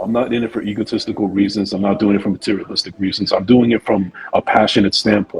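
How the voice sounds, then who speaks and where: Music playing behind a man's fairly quick speech. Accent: New Jersey. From New Jersey, USA. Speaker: podcaster and actor. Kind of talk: interview answer.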